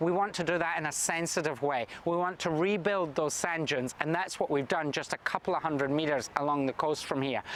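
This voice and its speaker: With a Scottish accent, a high-pitched man speaks at a moderate pace with ordinary pitch variation. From Scotland. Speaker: state government minister. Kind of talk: recorded video address.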